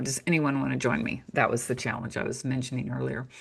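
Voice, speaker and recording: This woman's tone is bright and sharp, with vocal fry. The background is quiet. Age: 60s. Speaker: author and natural health teacher. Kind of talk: casual interview chat. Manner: conversational, with frequent fillers.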